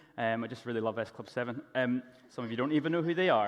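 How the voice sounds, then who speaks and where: A man speaks at a very fast pace in an animated tone. Noticeable background noise is present. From Northern Ireland, Belfast. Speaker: motivational speaker. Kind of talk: motivational talk. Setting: stage with audience.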